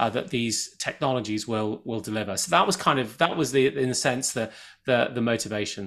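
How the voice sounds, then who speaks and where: Heard in a very clean recording with a silent background, a man speaks at a medium pitch. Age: 50s. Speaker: author and tech investor. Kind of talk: interview. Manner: halting, many repeated words.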